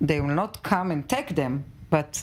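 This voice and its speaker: A woman with an Israeli accent speaks at a fairly slow pace. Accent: Israeli Hebrew. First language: Hebrew. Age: 50s. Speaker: mother of a hostage. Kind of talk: tv news interview. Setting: tv studio. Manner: halting.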